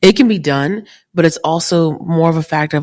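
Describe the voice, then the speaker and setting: A woman with a very deep, low pitch speaks with ordinary pitch variation. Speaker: podcast co-host, recruiter. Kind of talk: casual chat. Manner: fast.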